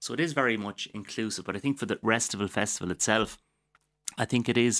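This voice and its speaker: A fairly low-pitched man with a Waterford accent, the sound dry and close with no echo, on a very clean recording with a silent background. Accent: Irish, Waterford. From Waterford, Ireland. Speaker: doctor and wellness advocate. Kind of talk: casual interview.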